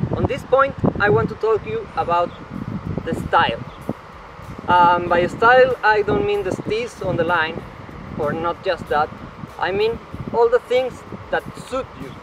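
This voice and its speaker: Through noticeable background noise, a man with a high pitch and lively intonation talks at a fairly slow pace with long, frequent pauses. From Peru. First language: Spanish. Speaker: slackline athlete and instructor. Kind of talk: tutorial.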